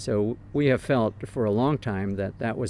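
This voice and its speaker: This man has an American accent and an unremarkable speaking voice. His pitch sits in the medium range and varies in an ordinary way. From United States. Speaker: pastor. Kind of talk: interview. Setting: outdoors.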